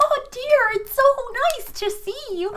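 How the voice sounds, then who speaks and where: A put-on character voice, female-sounding and extremely high in pitch, at a fairly slow pace over light background noise. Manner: sweet, doting.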